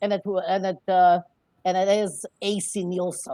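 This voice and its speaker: In a very clean recording with a silent background, a woman with a non-native accent speaks in a dark, mellow tone. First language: not English. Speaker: immigrant entrepreneur. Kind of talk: interview. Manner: halting, many fillers.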